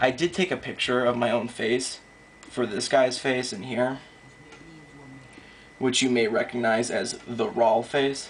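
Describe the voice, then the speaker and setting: The voice is quiet and fairly slow, with long, frequent pauses. Noticeable background noise runs underneath. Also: man, medium pitch for a man, ordinary pitch variation. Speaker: digital artist. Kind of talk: casual tutorial narration.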